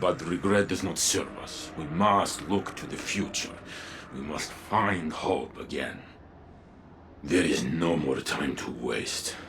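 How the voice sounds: Slow and fairly bright in tone, a man's put-on character voice sits at an extremely low pitch with ordinary pitch variation.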